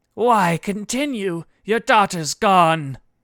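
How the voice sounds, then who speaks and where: A raspy, put-on character voice at a middle pitch, delivered at a very slow pace. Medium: read story. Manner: blunt, angry.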